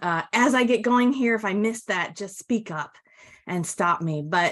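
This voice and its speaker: Against a quiet background, a woman talks at a fairly slow pace in an ordinary speaking voice. Her pitch varies in an ordinary way. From US Midwest, northern Michigan. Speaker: customer experience trainer. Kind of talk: webinar presentation. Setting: webinar.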